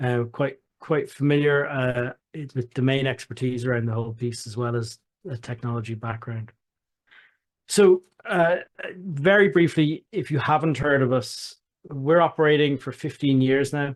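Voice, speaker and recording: Speaking at a moderate pace, the man has a fairly high pitch and ordinary pitch variation. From Ireland, Dublin. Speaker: software company founder and CEO. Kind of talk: product demonstration. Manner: halting, many repeated words.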